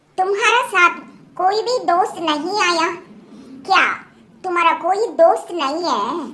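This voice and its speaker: A female-sounding cartoonish character voice, extremely high in pitch, at a fairly slow pace with long, frequent pauses. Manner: earnest, trusting.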